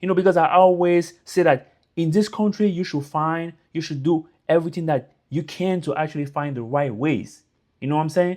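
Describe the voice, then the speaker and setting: Speaking at a fairly quick pace, a man with a French accent has a fairly high voice and ordinary pitch variation. The background is quiet. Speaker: YouTuber giving immigrant advice. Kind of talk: casual motivational talk to camera. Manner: informal, repetitive fillers.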